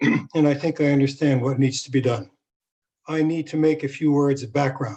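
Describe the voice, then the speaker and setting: A man speaks at a fairly high pitch with a dark, mellow tone and fairly even intonation. The background is quiet. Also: moderate pace. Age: 70s. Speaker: community board member. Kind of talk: question at board meeting. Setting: virtual meeting.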